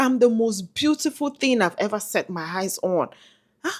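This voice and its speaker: At a fairly slow pace, the animated voice swings very widely in pitch. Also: woman. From Nigeria (Yoruba). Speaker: motivational vlogger. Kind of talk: motivational vlog talk.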